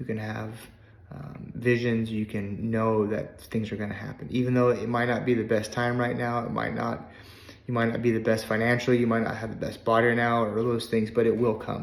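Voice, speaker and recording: A man speaks at a fairly quick pace. Room echo is audible. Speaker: life coach. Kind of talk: testimony. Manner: casual, conversational.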